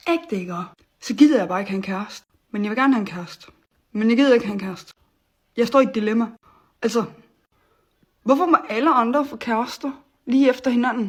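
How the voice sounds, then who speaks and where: A woman's fairly high voice at a very fast pace, with big swings in loudness and long, frequent pauses. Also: ordinary pitch variation. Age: 20s. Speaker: vlogger. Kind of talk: casual monologue vlog. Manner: animated.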